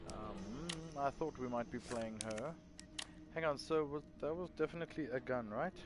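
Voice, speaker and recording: Pitch moves in a typical range as the words come at a middling tempo. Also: man, fairly high pitch for a man. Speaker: gaming streamer. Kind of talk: live game commentary. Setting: live stream. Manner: soft-spoken.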